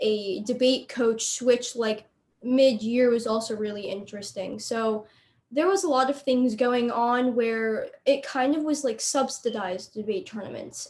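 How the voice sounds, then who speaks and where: A woman with a normal speaking voice and a fairly high pitch talks at a fairly slow pace with fairly even intonation. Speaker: student debater. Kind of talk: panel discussion.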